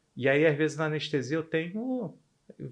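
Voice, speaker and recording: A man at a very fast pace, fairly high in pitch, with lively intonation. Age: 60s. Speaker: anesthesiologist. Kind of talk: podcast interview.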